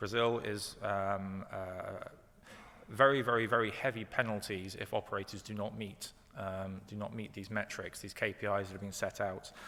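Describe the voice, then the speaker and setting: A man with a British accent speaks at a fairly low pitch in a bright, sharp tone, his intonation monotone and flat while his loudness swings widely. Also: moderate pace. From UK. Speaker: company executive. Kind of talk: panel presentation. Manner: halting, many fillers.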